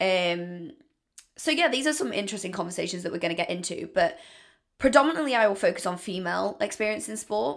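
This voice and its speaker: A woman with a British accent talks very fast at a medium pitch, her voice swinging very widely up and down, on a very clean recording with a silent background. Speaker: podcaster. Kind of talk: solo casual monologue intro. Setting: home, bathroom floor. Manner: fast talker; rambling, casual.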